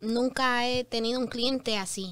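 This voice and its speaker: Against a quiet background, a woman speaks with monotone, flat intonation in a dry sound with no echo. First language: English (speaking Spanish). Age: 20s. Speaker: public adjuster; guest. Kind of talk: interview. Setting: studio. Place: studio. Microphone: studio mic.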